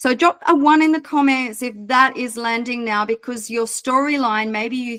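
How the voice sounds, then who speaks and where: A woman speaks with a fairly high pitch and ordinary pitch variation at a moderate pace. The sound is dry and close, with no echo. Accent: Australian. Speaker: business mentor. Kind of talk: online mentoring session. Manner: casual.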